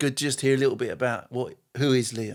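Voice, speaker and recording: Someone with an English accent speaks at a moderate pace in a very clean recording with a silent background. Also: man. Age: 60s. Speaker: church podcast host. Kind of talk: casual chat.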